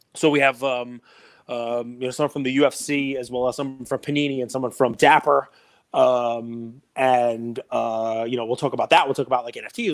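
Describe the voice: In a New York accent, a man speaks at a medium pitch. His intonation is monotone and flat. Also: fairly quick pace.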